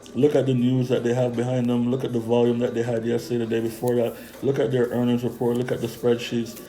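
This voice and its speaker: Noticeable background noise sits under this recording. A man races along at a very fast pace with hardly any pauses. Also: medium pitch for a man. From Jamaica. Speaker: stock trading youtuber. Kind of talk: casual stock picks talk. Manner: animated.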